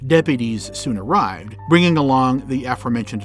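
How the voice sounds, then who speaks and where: Music plays in the background as a man with a medium pitch speaks at a very fast pace with lively intonation. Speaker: podcast narrator. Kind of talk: documentary history narration. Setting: home recording booth.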